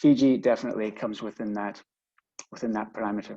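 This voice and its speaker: With a Scottish accent, a man speaks in a dark, mellow tone against a quiet background. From Scotland. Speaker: business executive. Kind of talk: webinar presentation. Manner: hesitant, many fillers and repetitions.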